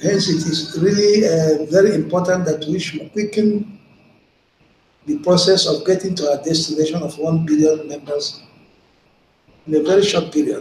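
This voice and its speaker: Moderate pace, long and frequent pauses, and fairly even intonation. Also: man, high pitch for a man. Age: 70s. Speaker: online broadcaster. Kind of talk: live video broadcast monologue. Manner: halting with frequent fillers.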